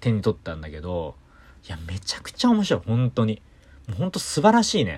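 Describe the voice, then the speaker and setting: At a moderate pace, a man speaks in a fairly low, somewhat breathy voice with an animated tone. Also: very clean recording, silent background. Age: 30s. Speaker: singer-songwriter and podcast host. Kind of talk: casual solo chat.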